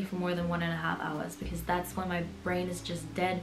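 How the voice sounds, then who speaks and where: A woman talks at a very fast pace in a fairly low pitch, with music playing in the background. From Berlin, Germany. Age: 20s. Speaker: dental student. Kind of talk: casual talk to camera. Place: home room.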